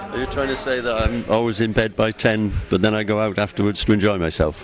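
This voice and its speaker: Over noticeable background noise, a man with a Cardiff accent and fairly low pitch talks at a very fast pace with fairly even intonation. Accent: Welsh (Cardiff). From Wales, Cardiff. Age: 60s. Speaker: football fan. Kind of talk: interview. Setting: airport.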